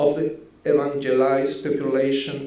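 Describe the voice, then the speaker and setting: A man talks very slowly in a Spanish accent. Room echo is audible. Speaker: researcher. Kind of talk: conference presentation. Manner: halting, self-correcting.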